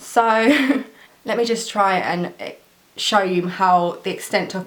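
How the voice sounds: Audible room echo surrounds a woman speaking at a slow pace. Her medium-pitched voice has a fairly bright tone and ordinary pitch variation.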